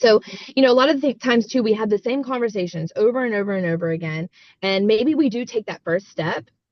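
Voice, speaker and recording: At a very fast pace, a woman talks with lively intonation and a fairly high pitch. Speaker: network marketing team coach. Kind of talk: team coaching call. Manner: animated.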